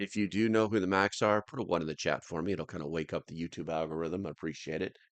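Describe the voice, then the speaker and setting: Dry and close with no echo, a man does a put-on character voice that is raspy and very deep, rattling along at a very fast pace. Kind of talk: quiet, subdued. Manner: calm.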